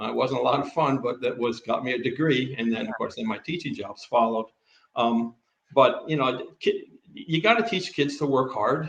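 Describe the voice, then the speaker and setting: A man with an American accent, fairly high pitch, lively intonation, a moderate pace and a somewhat breathy sound. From US East Coast. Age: 70s. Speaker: retired teacher and coach. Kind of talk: casual interview. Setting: livestream video call. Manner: halting.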